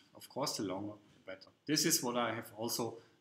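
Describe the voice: Audible room echo surrounds a man whose tone is fairly bright.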